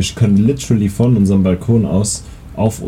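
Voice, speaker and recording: A man's moderate pace carries on over noticeable background noise. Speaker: podcast co-host. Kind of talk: casual chat. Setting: outdoors on holiday balcony.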